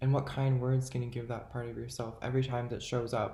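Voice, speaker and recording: A man speaks in a dark, mellow tone that is somewhat breathy. His intonation is monotone and flat, and room echo is audible. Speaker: self-help vlogger. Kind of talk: motivational monologue to camera. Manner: casual, halting with fillers.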